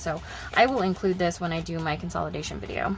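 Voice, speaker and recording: Music plays in the background. The room echo is audible. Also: woman. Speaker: budgeting YouTuber. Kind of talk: casual vlog talk. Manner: fast.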